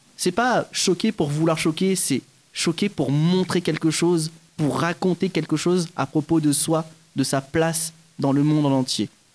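A man with a plain, everyday voice speaks at a fairly high pitch and a fairly slow pace. His pitch varies in an ordinary way, and the sound is dry and close with no echo. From French Guiana (Kourou). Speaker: stage actor. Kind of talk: interview.

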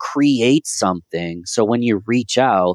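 An American accent from a man, the background quiet. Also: dry, close sound with no echo. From US Northeast, Rochester, New York. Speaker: marketing consultant. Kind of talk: interview. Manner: animated.

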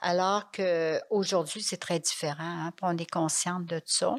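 A woman with a fairly low pitch speaks at a very slow pace. Her intonation stays fairly even on a very clean recording with a silent background. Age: 80s+. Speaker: nun and trained nurse. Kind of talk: interview testimony. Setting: monastery.

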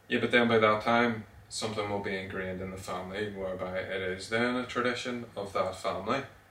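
Delivered at a very fast pace, the speech has fairly even intonation and audible room echo. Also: man, fairly low pitch for a man. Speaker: podcast co-host. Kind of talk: casual chat.

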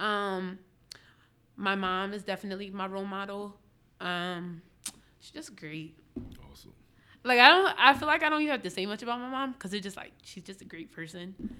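With a Philadelphia accent, a medium-pitched woman speaks at a fairly quick pace with lively intonation, big swings in loudness and long, frequent pauses, on a very clean recording with a silent background. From Philadelphia area (Upper Darby). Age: 20s. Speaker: journalist and podcaster. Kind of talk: casual chat.

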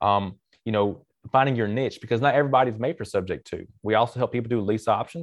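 A man talks very fast in a Southern US accent at a medium pitch. The background is quiet. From Mississippi, US South. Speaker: real estate investor and coach, military veteran. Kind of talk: interview.

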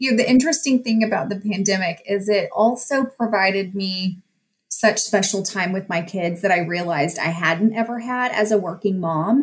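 A woman talks at a moderate pace with a Texan accent. Her voice is somewhat breathy and her intonation lively. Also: medium pitch for a woman. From West Texas. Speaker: judge. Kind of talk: interview.

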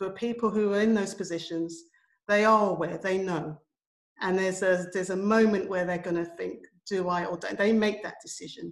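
A woman with a London accent at a moderate pace. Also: medium pitch for a woman, fairly even intonation. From London, England. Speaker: education and community arts practitioner. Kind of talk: panel discussion.

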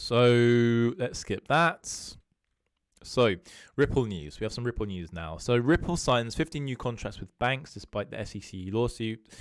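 In a very clean recording with a silent background, a man with a British accent speaks at a fairly slow pace and medium pitch, with lively intonation and big swings in loudness. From UK. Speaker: crypto analyst YouTuber. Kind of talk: solo video monologue on market analysis. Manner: casual, conversational with filler words.

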